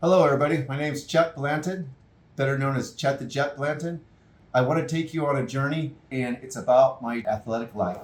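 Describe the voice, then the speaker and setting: With ordinary pitch variation, the speaker talks at a fairly quick pace in a somewhat breathy voice. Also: man, fairly high pitch for a man. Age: 60s. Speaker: endurance athlete and tennis coach. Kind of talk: personal storytelling. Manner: casual.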